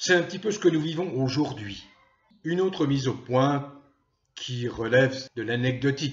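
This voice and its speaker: Somewhat breathy and fairly high-pitched, a man talks with ordinary pitch variation and long, frequent pauses. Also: fairly slow pace. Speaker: political commentator, YouTuber. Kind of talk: monologue to camera. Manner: slow; hesitant with frequent euh.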